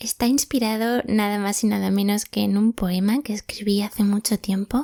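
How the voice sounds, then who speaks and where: A woman speaks at a moderate pace with a medium pitch, a dark, mellow tone, fairly even intonation and very even loudness, in a dry, close sound with no echo. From Spain, Málaga (Andalusia). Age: 20s. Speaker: podcast host. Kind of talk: reflective monologue podcast.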